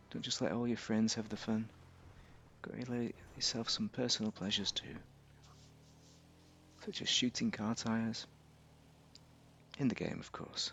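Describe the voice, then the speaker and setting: Long, frequent pauses break up this man's moderate pace. His medium-pitched voice stays monotone, with flat intonation. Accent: British. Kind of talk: casual gameplay commentary.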